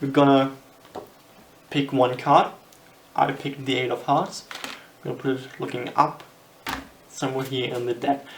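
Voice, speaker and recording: Noticeable background noise and long, frequent pauses. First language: German. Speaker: magician. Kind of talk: tutorial. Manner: halting.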